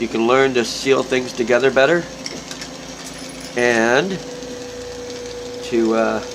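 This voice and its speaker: With noticeable background noise, a man speaks very slowly at medium pitch, keeping fairly even intonation and taking long, frequent pauses. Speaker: glass artist. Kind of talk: tutorial. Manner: casual.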